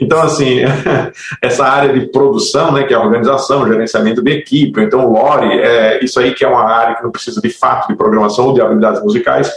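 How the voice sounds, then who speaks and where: Noticeable background noise sits under a man who talks at a very fast pace. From Natal, northeastern Brazil. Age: 40s. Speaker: game producer and biologist. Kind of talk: casual interview.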